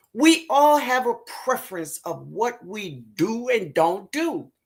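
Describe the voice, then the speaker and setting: Pitched fairly high, a woman's voice swings very widely in pitch and carries vocal fry. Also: big swings in loudness. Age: 60s. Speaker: gardening channel host. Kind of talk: live stream chat. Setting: live video stream. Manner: animated.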